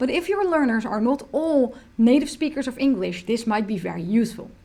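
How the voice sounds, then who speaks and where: This woman has a Dutch accent and a high pitch. She speaks at a fairly quick pace with lively intonation. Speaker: software tutorial presenter. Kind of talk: tutorial.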